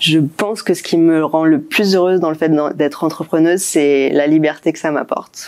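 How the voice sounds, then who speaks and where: Very deep and low for a woman, her voice holds very even loudness and fairly even intonation. She keeps a moderate pace with hardly any pauses. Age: 30s. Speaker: business founder. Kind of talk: testimonial interview. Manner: hesitant with frequent fillers.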